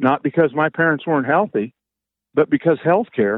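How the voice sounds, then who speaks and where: A man speaks with a Midwestern US accent at a moderate pace. His pitch is fairly high, with ordinary variation. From Kansas, small town. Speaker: financial advisor. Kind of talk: casual chat.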